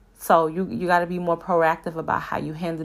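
The voice has an animated tone, captured on a very clean recording with a silent background. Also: woman. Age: 20s. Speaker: podcast host. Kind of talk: casual solo monologue. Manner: animated, conversational.

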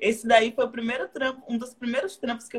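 A woman with a fairly high voice and ordinary pitch movement talks very fast. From Bahia, Brazil (southern Bahia coast). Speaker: actress and dancer. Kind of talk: casual live stream interview. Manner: talkative.

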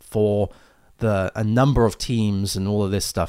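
A man with a British accent at a fairly slow pace, on a very clean recording with a silent background. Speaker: tech podcast host and developer. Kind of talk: live-streamed solo podcast. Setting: live stream with new microphone. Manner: halting, many fillers.

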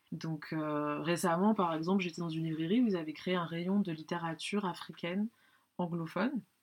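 The woman's pitch is fairly low, with fairly even intonation. She talks at a moderate pace against a quiet background. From France. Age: 30s. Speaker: book lover. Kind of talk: casual chat. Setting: in person. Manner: halting.

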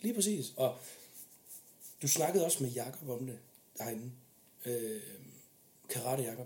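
Fairly slow, medium-pitched male speech with a somewhat breathy, dark, mellow tone, ordinary pitch variation, long and frequent pauses, and audible room echo. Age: 20s. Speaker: military police officer. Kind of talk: casual interview chat.

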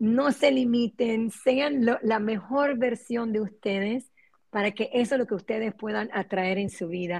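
A somewhat breathy woman's voice at a fairly slow pace. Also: fairly high pitch for a woman, ordinary pitch variation, quiet background. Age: 50s. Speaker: spiritual coach and Kabbalah specialist. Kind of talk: interview.

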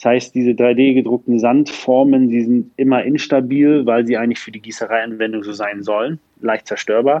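A man speaks in a plain, everyday voice at a moderate pace. His intonation is fairly even, and he takes hardly any pauses. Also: medium pitch for a man, big swings in loudness. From northern Germany, Lübeck. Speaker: startup founder and CEO. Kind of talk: interview.

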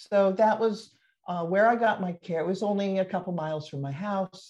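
A woman with an American accent has a plain, everyday voice. She talks at a fairly quick pace in a medium pitch with ordinary pitch variation. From Olympic Peninsula, Washington State, US. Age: 60s. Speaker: retired midwife and professor. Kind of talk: casual interview, telling birth story.

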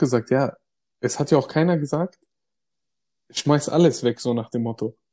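A man with a dark, mellow tone speaks at a moderate pace with ordinary pitch variation, the sound dry and close with no echo. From Germany, migrant family background. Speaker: podcast co-host. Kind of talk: casual chat. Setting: remote recording, separate locations.

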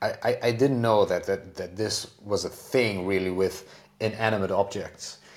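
The intonation is fairly even. Speech proceeds at a moderate pace. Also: man, fairly low pitch for a man. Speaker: podcast host. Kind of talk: casual chat. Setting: home piano room.

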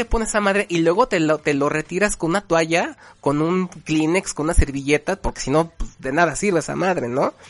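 With hardly any pauses, a man talks at a fairly quick pace in a high pitch with lively intonation, the sound dry and close with no echo. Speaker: podcast host. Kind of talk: casual chat.

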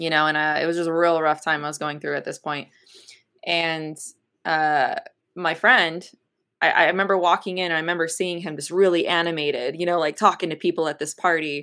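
The recording is very clean, with a silent background, as a woman speaks at a fairly quick pace. Her fairly low voice has a bright, sharp tone and a flat, monotone delivery. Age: 30s. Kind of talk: interview testimony.

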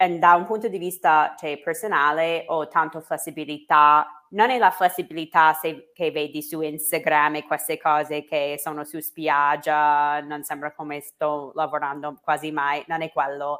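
A woman with a very deep, low pitch and a bright, sharp tone speaks fairly slowly in an American accent, her intonation fairly even, on a very clean recording with a silent background. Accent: American English accent in Italian. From United States. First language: English (speaking Italian). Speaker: English teacher and social media entrepreneur. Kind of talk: interview. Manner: halting, many fillers.

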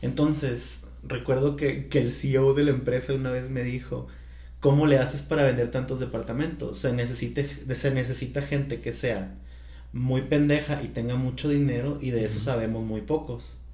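Man at a moderate pace, with audible room echo. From Culiacán, Sinaloa, Mexico. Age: 30s. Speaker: podcast guest, salesperson. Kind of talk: casual chat.

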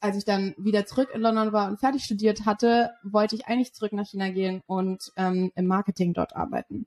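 At a moderate pace and with hardly any pauses, a woman speaks in an unremarkable speaking voice, medium in pitch with fairly even intonation, the sound dry and close with no echo. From Germany, Berlin. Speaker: sales development representative. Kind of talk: interview.

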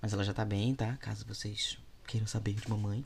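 Somewhat breathy, a man talks at a moderate pace. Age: 20s. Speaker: podcast host and content creator. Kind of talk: casual solo monologue answering listener questions. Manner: informal, chatty.

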